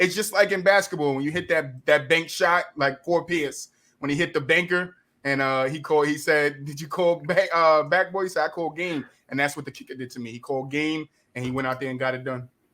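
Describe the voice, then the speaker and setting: On a very clean recording with a silent background, a man with an American accent speaks at a fairly quick pace and fairly high pitch, showing ordinary pitch variation and big swings in loudness. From New Jersey. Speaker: podcast host. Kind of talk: casual sports chat.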